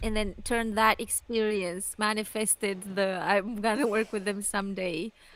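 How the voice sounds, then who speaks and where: A woman with a non-native accent speaks at a moderate pace and medium pitch, in monotone, flat intonation, with hardly any pauses. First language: not English. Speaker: youtuber commentary host. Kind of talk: casual chat.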